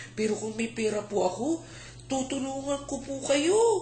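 A man talks in a gentle tone at a fairly slow pace. Noticeable background noise runs underneath. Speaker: storyteller. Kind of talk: bedtime story telling, folktale retold aloud to a child and family. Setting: home, family audience, dim room. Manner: gentle, expressive storyteller, slows for emphasis, voices characters' lines.

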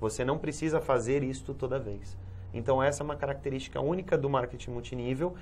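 A man talks at a very fast pace with ordinary pitch variation. Light background noise can be heard. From Brazil, São Paulo. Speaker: Amway distributor / businessman. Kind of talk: TV interview answer. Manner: explanatory, conversational. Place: studio. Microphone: lapel.

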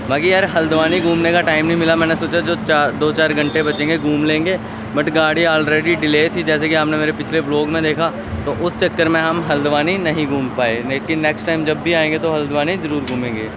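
The voice moves at a moderate pace with hardly any pauses, the sound dry with no echo but carrying noticeable background noise. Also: man. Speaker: travel vlogger. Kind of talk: casual vlog chat. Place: street. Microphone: phone near.

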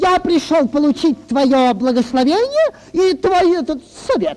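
A put-on character voice with a high pitch at a moderate pace

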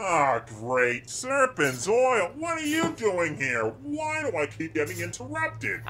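A man talks fairly slowly in a put-on character voice, with clear background noise behind him. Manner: exasperated, sarcastic.

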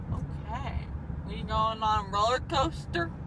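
A woman drawls at a fairly slow pace. The sound is dry with no echo, and background noise is noticeable. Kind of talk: casual drowsy talk. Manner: sleepy, dazed drawl with head back. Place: car. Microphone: phone near.

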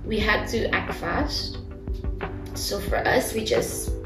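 Clear music in the background behind a woman's speech. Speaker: guest. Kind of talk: interview answer. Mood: earnest, warm, sometimes laughing. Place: studio.

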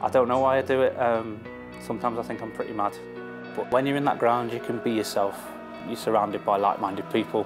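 Clear music plays in the background while a man talks very fast with ordinary pitch variation. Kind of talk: interview answer. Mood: reflective then delighted. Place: bar. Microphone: lapel.

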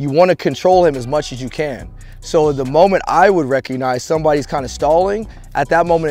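A man speaks with ordinary pitch variation. The sound is dry with no echo, and faint music plays in the background. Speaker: tactics instructor. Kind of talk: instructional explanation. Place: open country.

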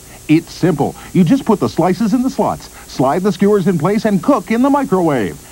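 A man talks at a moderate pace in a high pitch with very wide pitch swings and very even loudness. Noticeable background noise runs underneath. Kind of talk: TV commercial read.

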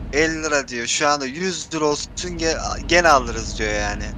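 The recording is dry with no echo, though noticeable background noise is present. A man speaks at a moderate pace. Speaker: gaming streamer. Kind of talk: gameplay voice chat with viewers. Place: home room.

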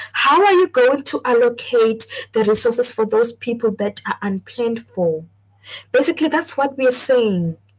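A woman's high-pitched voice with lively intonation, at a moderate pace. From South Africa, Mpumalanga. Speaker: YouTube livestream host; discussion host. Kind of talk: solo livestream talk reading viewer comments. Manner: frequent filler hesitations. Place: home room. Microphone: webcam.

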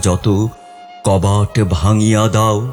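A man is speaking. Music plays in the background. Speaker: poetry reciter. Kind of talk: poetry reading.

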